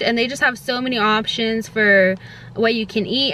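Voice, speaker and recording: Noticeable background noise behind a woman speaking, her pitch varying in an ordinary way. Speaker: lifestyle vlogger. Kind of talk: casual vlog talk to camera. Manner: fast; many filler ums.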